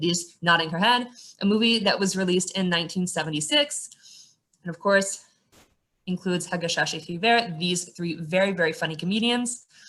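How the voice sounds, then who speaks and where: A woman speaks with an American accent in an unremarkable speaking voice. Her pitch is medium with ordinary variation, and her pace is moderate. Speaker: tour guide. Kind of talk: guided tour talk.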